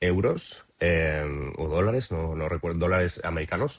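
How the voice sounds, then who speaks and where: A man's pitch is very deep and low. He talks at a moderate speed. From Spain, Cuenca province (Castilla-La Mancha). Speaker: traveller interviewee. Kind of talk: podcast interview. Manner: halting, many fillers and repetitions.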